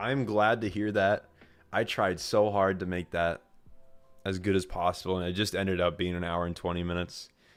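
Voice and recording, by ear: A raspy, put-on character voice speaks at a moderate pace with fairly even intonation. Music plays in the background. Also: man, very deep, low pitch for a man.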